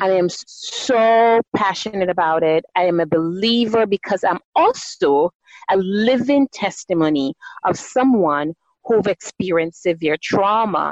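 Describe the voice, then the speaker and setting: At a fairly slow pace, a woman with a Jamaican accent and medium pitch speaks with lively intonation. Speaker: doctor and guest. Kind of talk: interview conversation.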